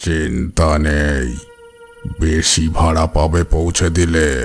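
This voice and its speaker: In a cartoonish character voice, a man speaks at a very deep, low pitch with monotone, flat intonation while faint music plays in the background. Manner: terse, urgent.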